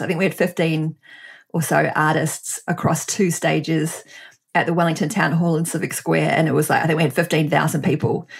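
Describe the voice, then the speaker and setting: A New Zealand accent with vocal fry, at a moderate pace. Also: woman. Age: 40s. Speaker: entrepreneur and author. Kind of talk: interview conversation.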